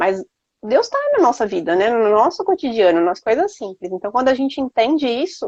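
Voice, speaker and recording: Recorded dry and close with no echo, a woman speaks in a high voice with very wide pitch swings. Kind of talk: faith testimony conversation. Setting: Instagram live video stream. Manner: fast.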